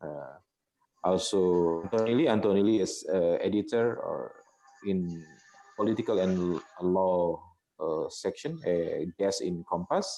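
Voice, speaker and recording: A man with an Indonesian accent at a fairly slow pace, music in the background. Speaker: newspaper editor. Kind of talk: panel discussion. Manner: halting.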